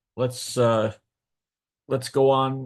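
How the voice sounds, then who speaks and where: The man's voice sits at a medium pitch. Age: 60s. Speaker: local historian and author. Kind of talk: lecture. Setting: video call. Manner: halting, many fillers.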